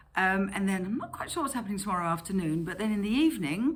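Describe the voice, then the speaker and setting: Vocal fry runs through this woman's medium-pitched voice, which has a slight Dutch accent. Her pitch swings very widely. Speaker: car seat retailer and vlogger. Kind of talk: travel vlog narration. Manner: casual, with fillers.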